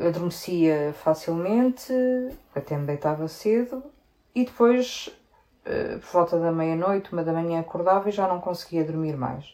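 In a normal speaking voice, a woman talks at a fairly slow pace. Her pitch sits fairly low, and her intonation is lively. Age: 40s. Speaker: sales technician. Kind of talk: interview.

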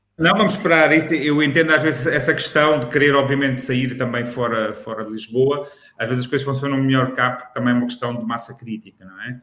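A man speaks very fast at a medium pitch with hardly any pauses, ordinary pitch variation and big swings in loudness. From Lisbon, Portugal. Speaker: food critic, podcast co-host. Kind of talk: casual chat.

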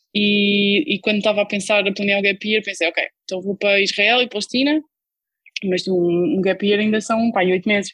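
A woman speaks at a medium pitch and a moderate pace in a plain, everyday voice with ordinary pitch variation and very even loudness. The sound is dry and close, with no echo. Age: 20s. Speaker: humanitarian worker. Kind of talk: casual interview. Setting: online call.

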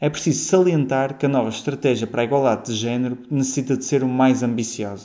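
Speaking at a very fast pace, a man keeps his medium-pitched voice in fairly even intonation. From Portugal, Porto. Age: 20s. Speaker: PhD student. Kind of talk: prepared statement.

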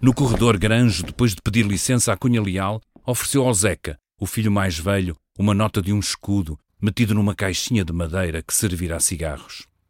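At a fairly quick pace, a man with a fairly low pitch speaks in a European Portuguese accent, in a very clean recording with a silent background. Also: ordinary pitch variation, dry, close sound with no echo. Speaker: podcast writer and narrator. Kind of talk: scripted narration. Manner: formal.

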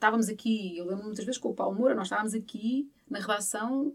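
Somewhat breathy, fairly high female voice, its pitch varying in an ordinary way. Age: 50s. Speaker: journalist. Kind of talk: interview testimony.

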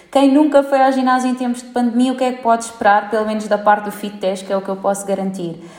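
There is noticeable background noise. A woman speaks at a fairly quick pace. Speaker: gym founder. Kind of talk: interview.

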